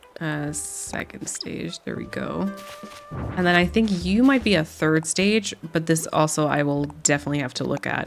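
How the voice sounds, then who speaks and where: With music in the background, a woman speaks at a moderate pace in a relaxed tone. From Germany. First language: German. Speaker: gaming content creator. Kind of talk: relaxed gameplay commentary. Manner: relaxed, casual with fillers.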